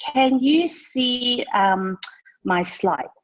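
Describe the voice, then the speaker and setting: A woman speaks with a non-native accent. Her high voice moves in very wide pitch swings. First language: not English. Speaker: social media trainer. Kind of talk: webinar training. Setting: video call. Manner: animated.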